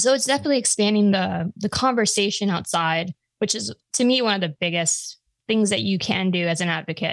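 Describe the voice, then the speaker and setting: A woman with an American accent speaks at a medium pitch with lively intonation, recorded with a dry, close sound and no echo. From Long Island, New York. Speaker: gun podcaster. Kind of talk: casual interview chat.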